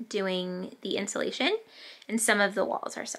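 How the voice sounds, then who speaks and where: The speaker is a woman. She talks at a medium tempo. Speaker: homesteading vlogger. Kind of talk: casual vlog chat. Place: home room. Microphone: phone near.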